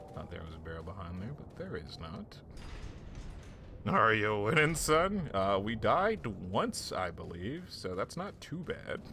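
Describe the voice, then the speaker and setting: In audible room echo, a man speaks fairly slowly at a fairly low pitch, with very wide pitch swings and big swings in loudness. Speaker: gaming streamer. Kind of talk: live gameplay commentary with chat.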